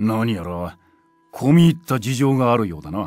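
A put-on character voice moves at a moderate pace with very wide pitch swings and big swings in loudness. Faint music plays in the background. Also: man. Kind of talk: video game character dialogue.

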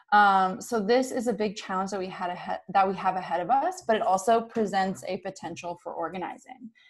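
A woman with an American accent and a normal speaking voice, medium in pitch, with ordinary pitch variation and hardly any pauses. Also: fairly quick pace. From US South, North Carolina. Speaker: housing research organizer. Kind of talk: webinar presentation. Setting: video call.

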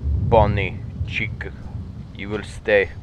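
A man's put-on character voice in a Russian accent, fairly low in pitch, over clear background noise. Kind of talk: gameplay commentary. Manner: commanding, playful, pretending.

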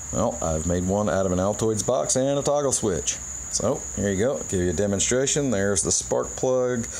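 Over light background noise, a man with a fairly low pitch speaks at a fairly quick pace, his pitch swinging very widely. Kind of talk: casual demonstration. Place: garage. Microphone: phone near.

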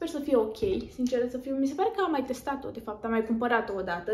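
A woman's high-pitched voice rises and falls with lively intonation against noticeable background noise. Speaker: lifestyle vlogger. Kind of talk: haul video chat.

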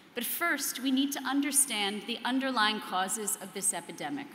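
A woman's high-pitched voice at a moderate pace, with light background noise and audible room echo. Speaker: conference speaker, psychoanalyst. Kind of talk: prepared keynote speech. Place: hall. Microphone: podium.

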